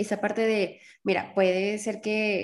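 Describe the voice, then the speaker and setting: The recording is very clean, its background silent. A woman talks at a medium pitch. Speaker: podcast host. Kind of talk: interview.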